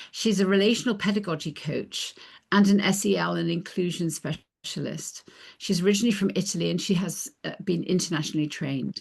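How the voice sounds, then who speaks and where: Over a quiet background, a woman speaks fairly quickly in a medium pitch with vocal fry and ordinary pitch variation. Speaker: webinar host. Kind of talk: webinar moderation.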